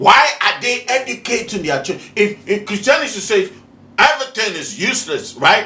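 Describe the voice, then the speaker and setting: A man's raised, projected, high-pitched voice, animated in tone and lively in intonation, over noticeable background noise. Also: moderate pace. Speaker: spiritual teacher, video host. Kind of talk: preaching monologue. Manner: animated, rhetorical questioning.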